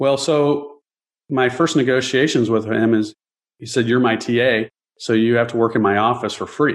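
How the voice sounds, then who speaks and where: A man of medium pitch speaks at a moderate pace with fairly even intonation. His is an unremarkable speaking voice. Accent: American. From US Midwest, Chicago area. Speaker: real estate investor and architect. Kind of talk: interview.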